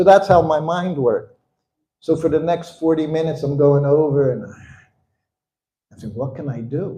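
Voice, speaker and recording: A somewhat breathy voice with a dark, mellow tone and an American accent, at a fairly slow pace. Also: man. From US Northeast, Philadelphia. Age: 70s. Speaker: spiritual teacher recounting memories of his guru. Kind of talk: storytelling talk to an audience.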